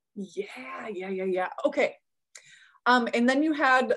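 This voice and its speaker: Lively intonation from a woman at a fairly slow pace, on a very clean recording against a silent background. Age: 40s. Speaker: podcast host and past life regression practitioner. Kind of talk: casual interview. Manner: animated.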